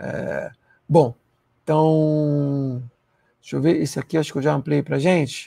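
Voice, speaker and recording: A man speaks in a fairly high pitch with a dark, mellow tone and monotone, flat intonation. His pace is fairly slow, with long, frequent pauses over a quiet background. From Rio de Janeiro, Baixada Fluminense; Rio de Janeiro. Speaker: university professor. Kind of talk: lecture. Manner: hesitant fillers, frequent né. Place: home room. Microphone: lapel.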